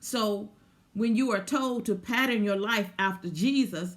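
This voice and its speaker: A woman speaks fairly slowly in a somewhat breathy voice of medium pitch with ordinary pitch variation. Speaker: spiritual teacher. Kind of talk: spiritual talk. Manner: repetitive, stammering restarts.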